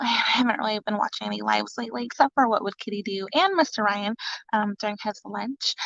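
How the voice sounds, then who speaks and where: A woman whispers quietly. The sound is dry and close, with no echo. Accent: American. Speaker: mother livestreaming to viewers. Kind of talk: casual live stream chat. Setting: live stream from home closet. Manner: whispering, very quiet.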